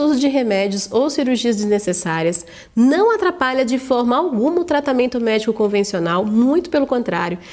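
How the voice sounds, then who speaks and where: A woman's high voice swings very widely in pitch as she talks. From Brazil, interior of São Paulo state. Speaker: online course instructor. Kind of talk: sales pitch.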